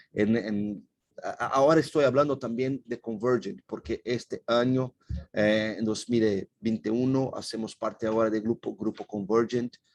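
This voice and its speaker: A man's medium-pitched voice in a Portuguese accent, fairly slow and fairly even in intonation, with a dry, close sound and no echo. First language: Portuguese (speaking Spanish). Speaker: company representative presenting. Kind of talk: webinar presentation. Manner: halting.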